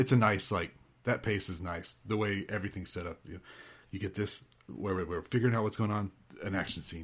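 A man's fairly low, somewhat breathy voice, fairly quick, with ordinary pitch variation. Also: very clean recording, silent background. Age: 40s. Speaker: podcaster, film enthusiast. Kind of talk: casual chat.

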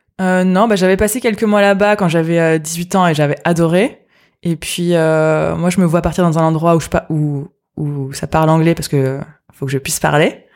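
A woman speaks at a moderate pace in a plain, everyday voice, her pitch fairly low and her pitch variation ordinary. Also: very clean recording, silent background. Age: 20s. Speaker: entrepreneur. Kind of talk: interview.

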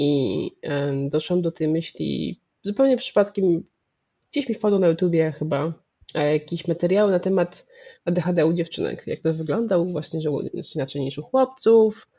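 Fairly slow in pace, a woman talks in an ordinary speaking voice. Her fairly low pitch carries lively intonation. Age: 30s. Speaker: medical anthropologist. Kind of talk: interview.

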